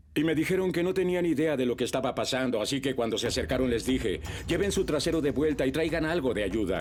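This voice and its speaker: Speaking very fast, a man with a fairly high pitch uses lively intonation. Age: 70s. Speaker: war veteran. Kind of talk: testimony.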